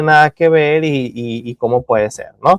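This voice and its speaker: A man talks with fairly even intonation. The sound is dry and close, with no echo. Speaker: university lecturer. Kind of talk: lecture. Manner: halting, many fillers and repetitions.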